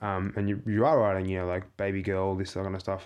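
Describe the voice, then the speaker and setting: A man with an Australian accent and a fairly low pitch, against a quiet background. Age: 30s. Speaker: theatre maker and performer. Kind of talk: casual chat. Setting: small studio.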